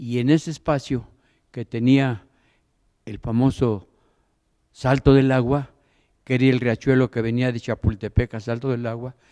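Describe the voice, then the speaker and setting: On a very clean recording with a silent background and a dry, close sound with no echo, a man speaks in a dark, mellow tone with monotone, flat intonation and long, frequent pauses. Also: medium pitch for a man, fairly slow pace. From Mexico City. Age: 80s+. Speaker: audience member, local resident. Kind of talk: audience comment. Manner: halting.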